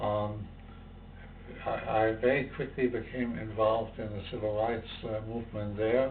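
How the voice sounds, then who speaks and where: The delivery is monotone and flat at a fairly slow pace. Room echo is audible. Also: man, medium pitch for a man. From Germany. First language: German. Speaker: civil rights activist and professor. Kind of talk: interview testimony. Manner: halting, many fillers.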